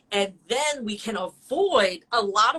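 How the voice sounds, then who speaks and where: A woman speaks in an animated tone with a fairly high pitch and ordinary pitch variation. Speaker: dog trainer. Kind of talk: educational explanation in a live-stream chat.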